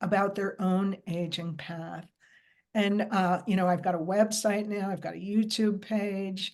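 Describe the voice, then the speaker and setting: An unremarkable speaking voice from a woman at medium pitch, moderate in pace with fairly even intonation, over a quiet background. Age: 60s. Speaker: wellness coach and face yoga instructor. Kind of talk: interview.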